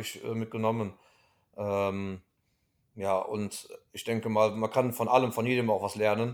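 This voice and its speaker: A fairly low male voice, flat and monotone, at a fairly slow pace on a very clean recording with a silent background. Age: 30s. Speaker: dairy farmer. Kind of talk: interview. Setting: at home in the evening. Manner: hesitant, many fillers.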